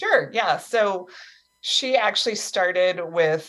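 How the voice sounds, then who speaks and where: In an ordinary speaking voice, a woman speaks at a fairly slow pace with ordinary pitch variation. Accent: American. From US East Coast. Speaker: author. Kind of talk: casual chat.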